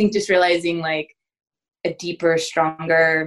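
Over music in the background, a woman with an American accent talks at a moderate pace and fairly low pitch. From Southern Oregon, US. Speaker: parish worker and mother. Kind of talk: casual interview. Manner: hesitant, many fillers.

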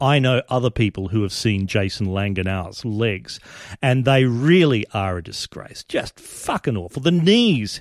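In a dry, close sound with no echo, a man with an Australian accent speaks at a fairly slow pace, his pitch making very wide swings. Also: very clean recording, silent background. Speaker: podcast host. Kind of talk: satirical podcast monologue. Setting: live stream. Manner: animated.

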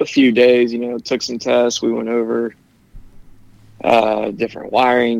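A man's voice at medium pitch and a moderate pace. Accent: US Midwestern. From Ohio, Cincinnati area. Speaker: electrician. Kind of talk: interview.

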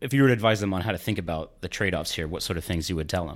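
A plain, everyday voice with ordinary pitch variation on a very clean recording with a silent background. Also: man. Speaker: podcast host interviewer. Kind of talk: interview.

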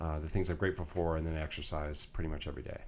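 A man speaks with a monotone, flat intonation. Audible room echo surrounds his voice. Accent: American. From Colorado, US. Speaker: real estate company president. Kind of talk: interview. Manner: halting, many fillers and repeats.

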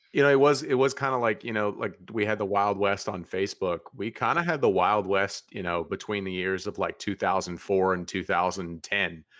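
In an ordinary speaking voice, a man talks at a moderate pace with hardly any pauses, fairly low pitch and ordinary pitch variation. The background is quiet. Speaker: former online group admin. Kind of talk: casual chat.

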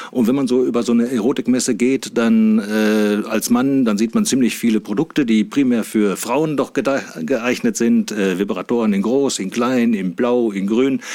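At a medium pitch and moderate pace, a man keeps his loudness very even and his intonation fairly even, with hardly any pauses. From Saxony-Anhalt, Harz region (Wernigerode). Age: 50s. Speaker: sex doll company manager. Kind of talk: casual interview. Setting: studio. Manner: hesitant, many filler sounds.

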